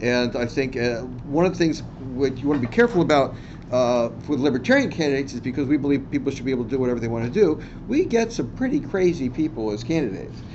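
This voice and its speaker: Very fast and medium-pitched, a man with an American accent talks with ordinary pitch variation in audible room echo. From Washington DC. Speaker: physician and political candidate. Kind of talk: seminar talk. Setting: university classroom. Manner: halting, many fillers.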